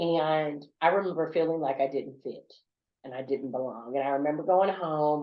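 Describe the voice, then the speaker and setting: This woman speaks with a Southern US accent. Her voice is very deep and low, with ordinary pitch variation. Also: moderate pace. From US South. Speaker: corporate business leader and speaker. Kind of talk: podcast interview.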